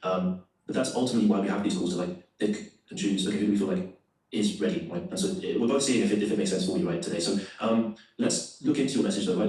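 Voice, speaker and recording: Very wide swings in pitch from a male speaker, with audible echo in the room. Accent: London. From London. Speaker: salesperson. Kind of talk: sales call.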